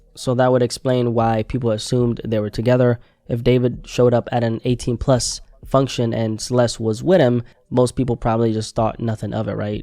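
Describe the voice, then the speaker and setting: A man's dark, mellow voice with a non-native accent, medium in pitch, monotone and flat in intonation, at a fairly quick pace. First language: not English. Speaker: news commentary YouTuber. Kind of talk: news commentary. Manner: conversational.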